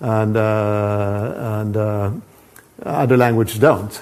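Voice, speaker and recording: A man with a Swedish accent, medium in pitch. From Sweden. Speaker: professor. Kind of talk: lecture. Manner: halting, many repetitions and false starts.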